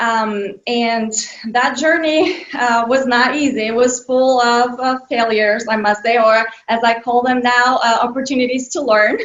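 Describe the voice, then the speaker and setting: Speaking with a Bulgarian accent, a woman uses a high pitch at a fairly slow pace. Noticeable background noise runs underneath. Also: fairly even intonation. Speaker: children's author. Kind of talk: interview. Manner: hesitant with many fillers.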